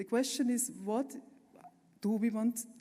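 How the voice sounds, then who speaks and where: Somewhat breathy, a woman speaks at a fairly slow pace in a dark, mellow tone. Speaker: architect and urban planner. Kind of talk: conference talk with slides. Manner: passionate; halting with fillers.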